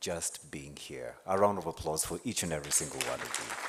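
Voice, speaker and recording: A man's very deep, low voice at a fairly quick pace, with crowd noise in the background. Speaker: conference MC. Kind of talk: event hosting. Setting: conference hall with audience. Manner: loud; animated.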